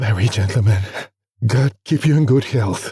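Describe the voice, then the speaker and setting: Put-on character voice, husky and raspy, at a moderate pace with ordinary pitch variation, dry and close with no echo. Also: man. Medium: read story. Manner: hesitant, humble.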